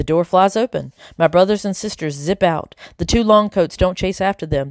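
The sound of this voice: Just an unforced reading voice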